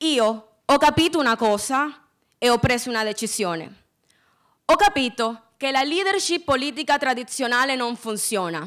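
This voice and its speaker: With a Spanish accent, a woman speaks in a high voice with lively intonation against a quiet background. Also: moderate pace. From Colombia. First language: Spanish (speaking Italian). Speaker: student peace activist; speaker. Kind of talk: prepared speech. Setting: stage with audience. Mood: earnest, impassioned. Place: stage. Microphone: podium.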